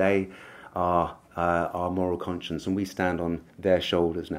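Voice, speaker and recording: A man speaks with a very deep, low pitch. His intonation is monotone and flat. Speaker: speaker. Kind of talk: conference speech. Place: hall. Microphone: podium.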